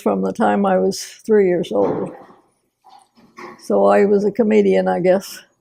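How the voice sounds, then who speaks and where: A woman speaks with a Kansas accent. Her pace is fairly slow. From Sedgwick, Kansas. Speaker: farmer's wife and melodrama director. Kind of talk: interview answer.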